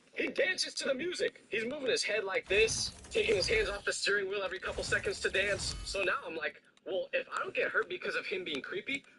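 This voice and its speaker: Over music in the background, a man with an extremely high voice projects loudly in an animated tone, talking very fast with very wide pitch swings. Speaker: content creator. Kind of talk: storytelling.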